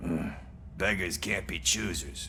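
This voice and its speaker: A man's put-on character voice over clear background noise. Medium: video game. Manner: sarcastic, wry.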